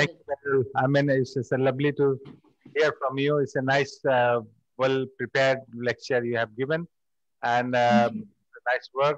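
A man with a Bengali accent speaks at a medium pitch and a moderate pace in monotone, flat intonation. Long, frequent pauses stand out in a dry sound with no echo and a quiet background. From Bangladesh. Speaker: festival organizer and moderator; moderator. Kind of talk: panel moderation. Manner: halting. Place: hall. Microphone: podium.

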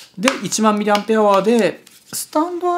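A man talks over noticeable background noise. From Japan, Kagoshima; Japan. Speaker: photographer and YouTuber; YouTuber. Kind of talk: casual vlog monologue, product unboxing. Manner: rambling with many fillers. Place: home room.

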